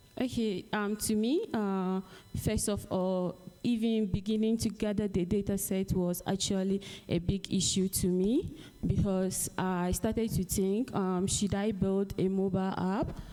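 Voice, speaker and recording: A woman with a Ghanaian accent speaks fairly slowly at a medium pitch in a dark, mellow tone, with fairly even intonation and very even loudness, in a very clean recording with a silent background. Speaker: AI researcher. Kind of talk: panel presentation and discussion. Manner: hesitant, many fillers.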